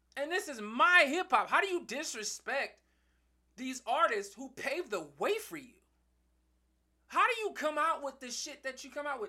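A man speaks in a raised, projected voice at an extremely high pitch, with a bright, sharp tone, lively intonation, an animated tone, big swings in loudness, a moderate pace and long, frequent pauses. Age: 30s. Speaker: podcast host. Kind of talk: solo commentary monologue. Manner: halting, many fillers and repetitions.

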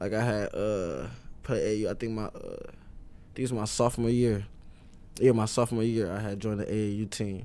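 Fairly low-pitched man with an American accent, dark and mellow in tone, fairly even in intonation, amid audible room echo. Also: moderate pace. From Detroit area, Michigan. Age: 20s. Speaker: rapper. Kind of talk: casual interview.

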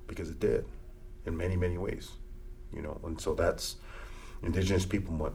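This is a man speaking at a moderate pace. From US Great Plains, Lakota reservation. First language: Lakota. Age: 40s. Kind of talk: interview conversation.

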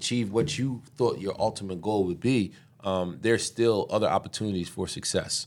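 A man with an American accent talks in a plain, everyday voice at medium pitch, with ordinary pitch variation. The recording is very clean, with a silent background. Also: moderate pace. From Philadelphia, Pennsylvania. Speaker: city councilmember. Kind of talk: casual interview conversation.

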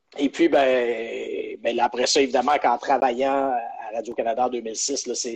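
Noticeable background noise sits behind a man speaking at a fairly slow pace. His voice is at a medium pitch and monotone, with flat intonation. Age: 30s. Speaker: sports journalist. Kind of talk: interview. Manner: halting, many repetitions.

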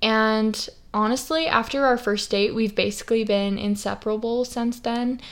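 A woman with an American accent speaks in a normal speaking voice at a moderate pace. Her pitch is fairly high and her intonation fairly even. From Idaho, US. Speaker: podcast host and western influencer. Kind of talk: casual solo monologue.

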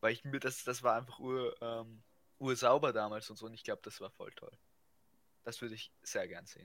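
A man talks at a moderate pace, broken by long, frequent pauses, with big swings in loudness. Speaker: podcast co-host. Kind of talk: casual chat.

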